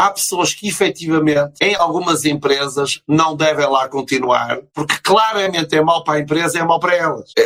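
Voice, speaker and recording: A man with a European Portuguese accent, fairly high in pitch and bright, sharp in tone, at a moderate pace with fairly even intonation. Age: 50s. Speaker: business consultant and motivational speaker. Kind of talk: interview.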